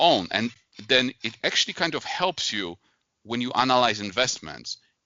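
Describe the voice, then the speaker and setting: In a Polish accent, a man speaks at a fairly slow pace with a medium pitch and ordinary pitch variation. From Poland. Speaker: investor and author. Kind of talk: interview.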